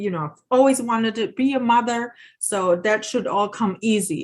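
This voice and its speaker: The intonation is lively. A woman speaks at a moderate pace. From Germany. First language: German. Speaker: parenting educator. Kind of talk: workshop presentation. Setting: video call webinar. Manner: halting, many fillers.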